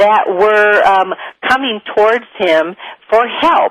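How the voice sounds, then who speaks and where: A woman with a Midwestern US accent at a fairly slow pace. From US Midwest. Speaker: spiritual teacher and show host. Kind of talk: talk-show monologue. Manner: conversational, with filler words.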